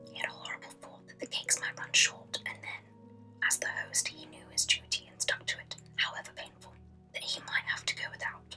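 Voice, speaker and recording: Whispering with a British accent, a woman goes at a fairly quick pace with big swings in loudness while music plays in the background. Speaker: ASMR creator. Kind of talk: reading aloud. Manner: whispered; soft-spoken.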